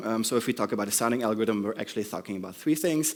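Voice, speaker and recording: This man talks at a very fast pace in a medium pitch, with a non-native accent. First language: not English. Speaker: conference speaker. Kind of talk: conference talk. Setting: stage with audience. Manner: hesitant, many ums.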